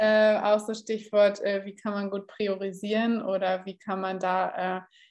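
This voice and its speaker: A woman speaks fairly slowly at medium pitch. Her intonation is monotone and flat. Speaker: podcast host, content marketing consultant. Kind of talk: casual interview chat. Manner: raises voice oddly at the start.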